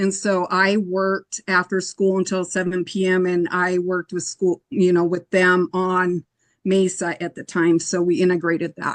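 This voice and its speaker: Monotone and flat, a woman's medium-pitched voice moves at a moderate pace. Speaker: educator, committee applicant. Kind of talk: interview.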